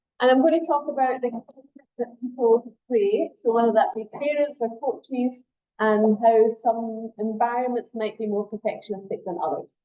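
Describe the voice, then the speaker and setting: In a Scottish accent, a woman speaks at a high pitch. Her pitch varies in an ordinary way. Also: hardly any pauses. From Scotland. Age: middle-aged. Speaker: sport psychology lecturer. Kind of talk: workshop lecture. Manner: fast when excited.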